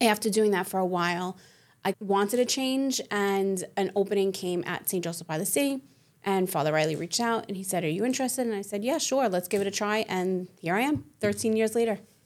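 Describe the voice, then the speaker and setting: A woman with an American accent speaks at a fairly quick pace in a medium pitch with ordinary pitch variation. It is a plain, everyday voice on a very clean recording with a silent background. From Staten Island, New York City. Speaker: school college placement director. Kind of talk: casual interview. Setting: studio.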